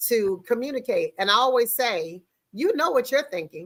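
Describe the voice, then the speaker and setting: A woman with an American accent speaks at a moderate pace in a bright, sharp tone, her pitch varying in an ordinary way. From US Mid-Atlantic (Maryland, Prince George's County). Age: 60s. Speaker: podcast host and personality coach. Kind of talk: live talk show interview. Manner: conversational.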